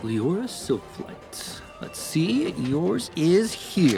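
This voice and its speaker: Against clear music in the background, a man in a put-on character voice speaks very slowly at a fairly high pitch with very wide pitch swings. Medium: actual play. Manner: polite, formal.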